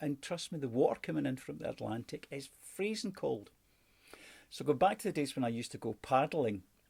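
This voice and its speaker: With a Scottish accent, a man talks at a fairly quick pace in a fairly high pitch, showing vocal fry and very wide pitch swings. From Scotland. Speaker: sales and customer service trainer. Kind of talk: online training lesson.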